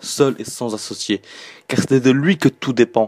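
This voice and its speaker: A plain, everyday voice from a man, medium in pitch, at a fairly slow pace on a very clean recording with a silent background. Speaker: religious reminder speaker. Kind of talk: spoken religious reminder.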